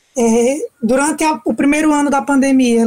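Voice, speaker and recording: A woman's high-pitched voice stays monotone and flat. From Brazil, Sergipe interior (Capela). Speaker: writer. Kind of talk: radio interview. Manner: hesitant filler-heavy.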